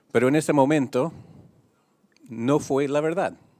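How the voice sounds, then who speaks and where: In a non-native accent, a man speaks at a fairly slow pace, with a dry, close sound with no echo on a very clean recording with a silent background. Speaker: international union leader. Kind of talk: press conference statement. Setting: press conference.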